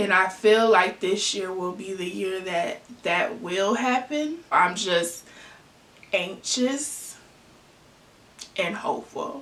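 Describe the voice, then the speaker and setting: With a Southern US accent, the speaker goes at a very slow pace with long, frequent pauses and ordinary pitch variation, amid audible room echo and noticeable background noise. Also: woman, medium pitch for a woman. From US South, West Memphis, Arkansas / Memphis, Tennessee. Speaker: virtual assistant and lifestyle vlogger. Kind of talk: casual get-to-know-me vlog. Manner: hesitant, with frequent fillers.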